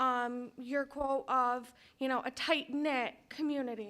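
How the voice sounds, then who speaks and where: A woman speaks loudly at a high pitch. Her intonation stays fairly even. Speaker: parent speaking at public comment. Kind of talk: public comment at board meeting.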